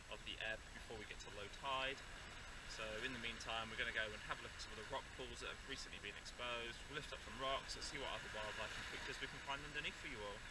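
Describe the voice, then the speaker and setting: Amid loud background noise, a man talks at a very fast pace, with a dry sound with no echo. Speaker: nature vlogger. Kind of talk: educational outdoor vlog talk. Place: beach. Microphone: camera far.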